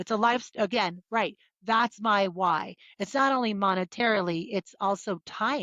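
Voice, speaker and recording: This is a normal speaking voice moving at a moderate pace with ordinary pitch variation. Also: woman, medium pitch for a woman. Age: 60s. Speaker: entrepreneur. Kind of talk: interview.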